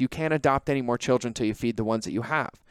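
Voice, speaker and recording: In a very clean recording with a silent background, a man speaks with ordinary pitch variation and a dry, close sound with no echo. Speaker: podcast host. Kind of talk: solo podcast monologue. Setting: rented conference room. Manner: fast; animated.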